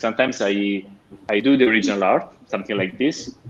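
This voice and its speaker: A man with an Italian accent at a fairly quick pace. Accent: Italian accent, self-described rusty English. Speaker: comic artist and painter. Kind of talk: interview. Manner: halting, many fillers.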